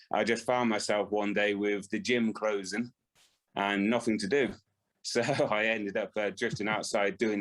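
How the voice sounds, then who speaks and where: A man with a West Country accent, fairly low in pitch, with monotone, flat intonation, very even loudness and a moderate pace. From West Country, England (Swindon). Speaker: ultra runner. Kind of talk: podcast interview. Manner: hesitant, many fillers.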